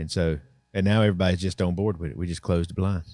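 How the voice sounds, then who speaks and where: Over a quiet background, a man with a Southern US accent talks at a very fast pace in a very deep, low pitch and a dark, mellow tone. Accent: US South. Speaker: podcast host. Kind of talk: casual chat. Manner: animated.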